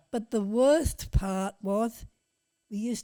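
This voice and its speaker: On a very clean recording with a silent background, a woman with an Australian accent speaks in a fairly high voice of dark, mellow tone, dry and close with no echo. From Western Australia, Goldfields region near Kalgoorlie. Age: 80s+. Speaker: great-grandmother telling life stories. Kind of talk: casual interview chat. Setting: at home, on location.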